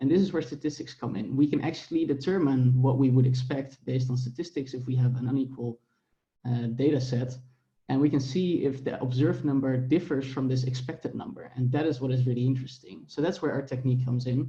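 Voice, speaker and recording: At a very fast pace, a man talks in a dark, mellow, somewhat breathy tone at medium pitch with fairly even intonation. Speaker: academic researcher presenting a paper. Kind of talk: conference paper presentation.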